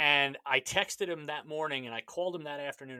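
Energetic and fairly quick, a man speaks in a bright, sharp tone at a fairly high pitch. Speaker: podcast host. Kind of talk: casual interview.

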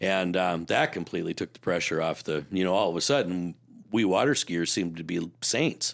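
On a very clean recording with a silent background, a man with an Upper Midwest accent talks at a fairly quick pace in a very deep, low pitch with ordinary pitch variation. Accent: Upper Midwest (Minnesota). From US Midwest, Minnesota lakes area. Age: 60s. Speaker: former boat dealership owner. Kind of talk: podcast interview. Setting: studio.

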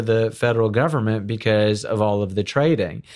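On a very clean recording against a silent background, a man is talking. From South Florida (born in Houston, Texas). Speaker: corporate attorney. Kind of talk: interview. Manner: halting, many fillers and repeated words.

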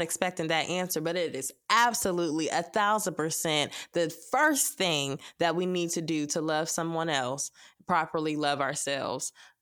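Talking at a moderate pace with hardly any pauses, a woman has a fairly low pitch and ordinary pitch variation. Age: young. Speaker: podcast host. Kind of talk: casual chat.

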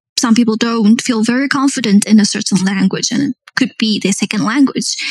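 This woman's fairly high, somewhat breathy voice has a dry, close sound with no echo. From South Africa. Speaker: project manager. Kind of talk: interview.

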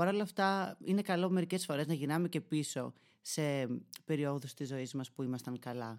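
On a very clean recording with a silent background, a man with a fairly high voice speaks at a moderate pace in an animated tone, his pitch varying in an ordinary way. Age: 20s. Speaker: podcaster and YouTuber. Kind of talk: solo monologue podcast.

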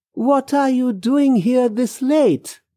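Recorded very cleanly against a silent background, this put-on character voice is pitched fairly high. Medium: read story.

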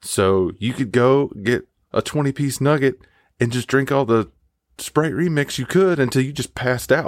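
A man with a Southern US accent speaks at medium pitch and a moderate pace. His pitch varies ordinarily, in a very clean recording with a silent background. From Mississippi, US South. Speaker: listener contributor. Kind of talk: recorded personal story. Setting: home recording booth. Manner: animated.

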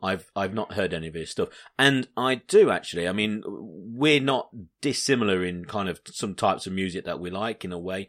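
With an English accent, a man speaks at a moderate pace with ordinary pitch variation in a very clean recording against a silent background. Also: fairly low pitch for a man. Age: 30s. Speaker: podcast host. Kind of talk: casual chat.

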